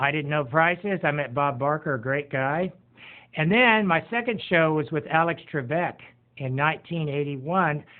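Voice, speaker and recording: This man has a plain, everyday voice, set at a fairly high pitch, with ordinary pitch variation and a moderate pace. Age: 60s. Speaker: retired podcast host. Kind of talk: casual self-introduction, game show audition pitch.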